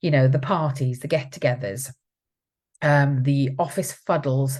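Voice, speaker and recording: In a very clean recording with a silent background, a woman speaks in a somewhat breathy voice at a very deep, low pitch. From South Wales. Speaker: support advocate hosting a live stream. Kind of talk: live stream talk reading comments. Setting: Facebook live video. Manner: conversational with many fillers.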